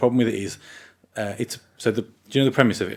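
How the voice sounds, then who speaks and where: Speaking at a very fast pace, a man has a Birmingham accent. His pitch is medium, with ordinary variation. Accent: Birmingham (Brummie). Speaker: gaming podcast co-host. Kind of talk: casual chat.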